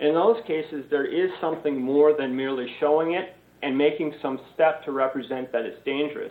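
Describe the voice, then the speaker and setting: This man has a plain, everyday voice at a fairly high pitch. He talks at a moderate pace with ordinary pitch variation. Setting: video call. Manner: formal.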